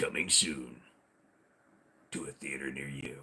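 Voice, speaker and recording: A man uses a put-on character voice with a very deep, low pitch. He talks at a moderate pace. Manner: dramatic, suspenseful.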